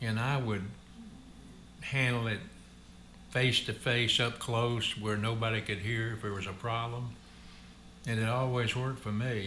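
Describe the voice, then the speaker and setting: A man with a Southern US accent speaks at a medium pitch in a bright, sharp tone. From Memphis, Tennessee. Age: 80s+. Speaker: retired trucking company executive. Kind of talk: interview answer.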